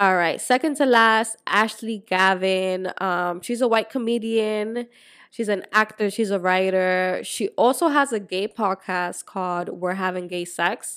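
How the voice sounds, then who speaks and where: On a very clean recording with a silent background, the speaker goes at a fairly slow pace with hardly any pauses, ordinary pitch variation and a slight Spanish accent. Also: woman, medium pitch for a woman. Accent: light Spanish-accented English. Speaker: podcast co-host. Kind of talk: casual chat.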